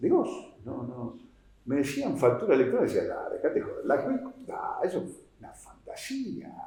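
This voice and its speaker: Someone with a Rioplatense accent speaks at a moderate pace amid audible room echo. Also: man. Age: 60s. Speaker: tax policy expert, accountant. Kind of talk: oral history interview. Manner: hesitant, many fillers.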